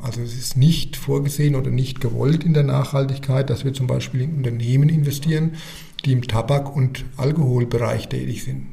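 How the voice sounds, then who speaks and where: Noticeable background noise and audible room echo accompany a man talking at medium pitch and a moderate pace with fairly even intonation. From Germany, Rhön region (Lower Franconia, Bavaria). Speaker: bank sustainability officer. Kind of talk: podcast interview.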